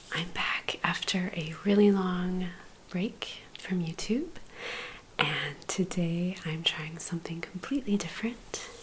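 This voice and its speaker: Soft-spoken whispering at a very slow pace, with noticeable background noise. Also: woman. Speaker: quilter and knitwear designer. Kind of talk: ASMR crafting vlog. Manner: soft-spoken, whispered.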